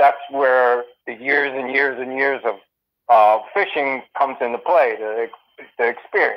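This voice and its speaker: A man with an American accent, fairly high-pitched, at a fairly slow pace. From northern New Jersey. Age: 60s. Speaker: angler. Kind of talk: interview. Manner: halting, many fillers.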